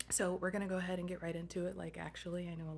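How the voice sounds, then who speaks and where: Soft-spoken woman at a very fast pace. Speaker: somatic movement instructor. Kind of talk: guided movement session. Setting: at home late at night, video recording. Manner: hesitant, many fillers.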